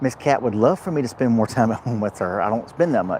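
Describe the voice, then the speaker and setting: A man speaks in an animated tone at a fairly quick pace. Noticeable background noise runs underneath. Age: 50s. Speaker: truck driver vlogger. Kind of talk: casual live vlog chat. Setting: truck repair shop. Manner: repetitive, animated.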